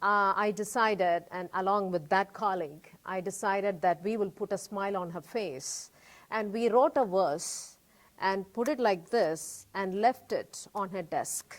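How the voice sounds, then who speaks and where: A medium-pitched woman with a Tamil accent, ordinary pitch variation, and a fairly slow pace. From India. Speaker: cancer survivor and artist. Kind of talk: interview.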